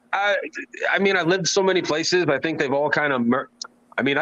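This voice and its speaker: A man talks at a very fast pace with a fairly high pitch and ordinary pitch variation. His loudness stays very even, and there is noticeable background noise. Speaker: show host reading viewer comments; works on radio. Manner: casual, off-mic everyday speech rather than radio voice.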